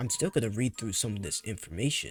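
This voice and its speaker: Recorded dry and close with no echo, a man talks quietly at a medium pitch. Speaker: gaming youtuber. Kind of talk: casual commentary reading patch notes.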